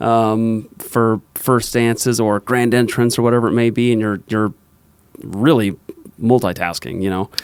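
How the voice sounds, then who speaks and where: Medium-pitched male speech, fairly even in intonation, in an ordinary speaking voice. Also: fairly slow pace. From Arizona. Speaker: podcast host, DJ booking business. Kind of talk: casual chat.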